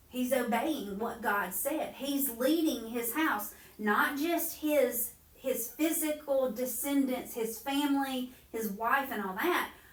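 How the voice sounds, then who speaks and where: Very slowly, a woman with an American accent speaks at a high pitch with ordinary variation, and room echo is audible. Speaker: Bible study teacher. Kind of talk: Bible study lesson.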